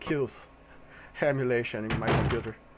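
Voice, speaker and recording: A man speaks with a non-native accent at a medium pitch, with monotone, flat intonation. Noticeable background noise runs behind him. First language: not English. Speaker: gaming commentator. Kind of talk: casual let's play commentary.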